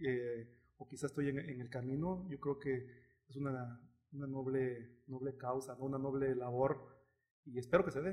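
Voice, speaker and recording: A somewhat breathy male voice with fairly even intonation at a fairly slow pace. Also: medium pitch for a man. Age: 30s. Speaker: taekwondo coach. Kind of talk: interview.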